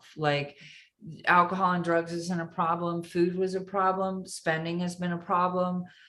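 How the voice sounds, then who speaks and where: A woman with a normal speaking voice, fairly low pitch and a moderate pace. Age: 50s. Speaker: comedian. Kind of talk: casual chat.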